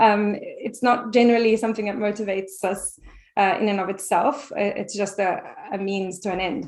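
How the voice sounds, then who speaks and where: The speaker has a non-native accent and talks at a fairly quick pace with fairly even intonation. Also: woman. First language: not English. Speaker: French teacher. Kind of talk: interview conversation. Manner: halting, many repetitions.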